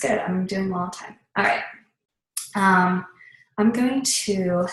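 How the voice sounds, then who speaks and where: A woman speaks at a medium pitch in a somewhat breathy voice, with big swings in loudness and long, frequent pauses. Room echo is audible. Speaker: fitness business coach. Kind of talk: tutorial. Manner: rambling, casual.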